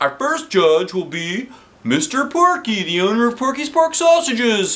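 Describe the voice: A man uses a put-on character voice at an extremely high pitch. His pitch makes big swings. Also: fairly slow pace, fairly bright tone.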